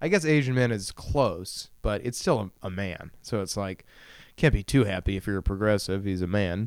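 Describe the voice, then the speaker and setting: A man talks with lively intonation at a moderate pace, in a normal speaking voice. The recording is very clean, with a silent background. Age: 20s. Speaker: solo podcaster. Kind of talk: casual monologue. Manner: rambling with frequent laughs.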